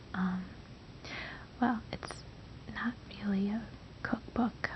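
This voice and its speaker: Whispering at a very slow pace in a gentle, relaxed tone, a woman can be heard over noticeable background noise. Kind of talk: ASMR soft-spoken casual talk to camera. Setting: home recording with microphone. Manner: soft-spoken, gentle, relaxed.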